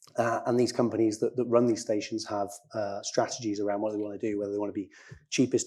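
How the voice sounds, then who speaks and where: The background stays quiet. A man rushes along at a very fast pace. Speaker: IT operations director at a tech company. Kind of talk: conference panel talk. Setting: stage with audience.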